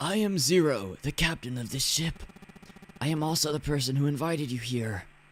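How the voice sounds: Putting on a character voice, a man speaks at a fairly quick pace and a fairly high pitch while sound effects play in the background.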